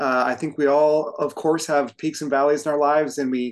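At a moderate pace, a man with an unremarkable speaking voice talks at a fairly high pitch with fairly even intonation over a quiet background. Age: 50s. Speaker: firefighter and fitness coach. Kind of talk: casual chat.

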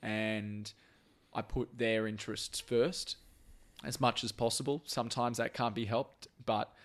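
A man with an Australian accent and a fairly low pitch is heard on a very clean recording with a silent background. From Brisbane, Australia. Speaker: podcast host, former TV journalist. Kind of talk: casual chat. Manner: halting, repeats words.

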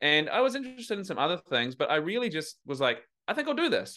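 Very wide pitch swings from a man with a New Zealand accent, at a fairly quick pace. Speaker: men's coach. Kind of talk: casual interview. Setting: remote call.

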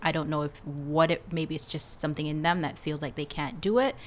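At a very fast pace, a woman talks with a very deep, low pitch. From Jamaica. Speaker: eyebrow artist and business coach. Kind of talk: casual chat. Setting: studio.

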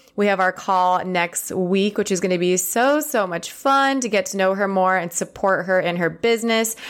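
A woman at medium pitch with ordinary pitch variation, moderate pace and hardly any pauses, in a very clean recording with a silent background. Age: 30s. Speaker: women's empowerment coach and podcast host. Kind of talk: casual solo podcast monologue. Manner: animated.

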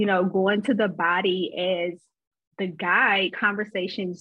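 This is a woman with an unremarkable speaking voice. Her medium pitch carries fairly even intonation. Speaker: therapist and intuitive healer. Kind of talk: casual chat.

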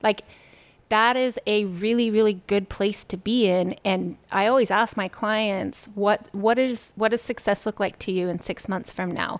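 A woman with an ordinary speaking voice talks at a fairly slow pace and fairly high pitch with fairly even intonation, on a very clean recording with a silent background. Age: 40s. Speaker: nutrition coach and gym owner. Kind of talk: interview.

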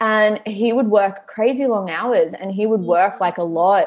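This woman has an Australian accent and a fairly high pitch. She talks at a moderate pace. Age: 30s. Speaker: business coach and Pilates studio owner. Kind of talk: casual chat.

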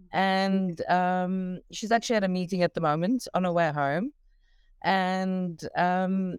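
A woman with a South African accent, in a dry, close sound with no echo. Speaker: parent of recovering addict. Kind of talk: call-in conversation.

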